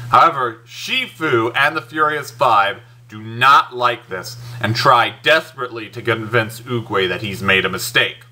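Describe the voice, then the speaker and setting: A man speaking at a fairly slow pace, his loudness swinging widely, with noticeable background noise. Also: medium pitch for a man, ordinary pitch variation. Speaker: movie reviewer. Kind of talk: movie review. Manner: casual, enthusiastic; halting, self-correcting.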